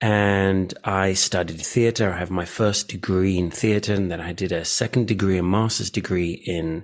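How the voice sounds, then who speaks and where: Speaking at a moderate pace with hardly any pauses, a man uses a very deep, low pitch and monotone, flat intonation. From Greece. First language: Greek. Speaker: communication specialist. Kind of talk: interview. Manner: hesitant, many fillers.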